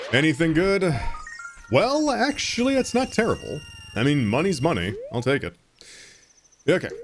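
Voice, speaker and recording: Pitch swinging very widely, with noticeable noise in the background. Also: man. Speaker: video game streamer. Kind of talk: casual gameplay commentary. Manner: mumbling to himself.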